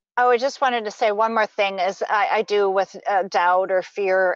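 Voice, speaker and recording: In a plain, everyday voice, a woman speaks at a medium pitch and a moderate pace with ordinary pitch variation. The sound is dry and close, with no echo. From Saskatchewan, Canada. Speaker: spiritual teacher. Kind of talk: interview.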